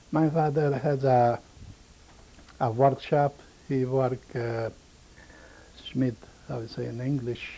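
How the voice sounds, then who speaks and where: Long, frequent pauses break up a man's very slow speech. His medium-pitched voice has a monotone, flat intonation. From Romania (Maramures region). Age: 70s. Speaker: Holocaust survivor. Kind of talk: oral history testimony. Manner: halting, broken English.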